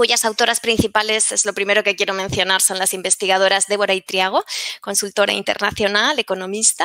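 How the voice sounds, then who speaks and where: Flat, monotone intonation in a dry, close sound with no echo, plus noticeable background noise. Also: woman, medium pitch for a woman. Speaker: researcher presenting a study. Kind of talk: academic conference talk. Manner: halting, many fillers and repetitions.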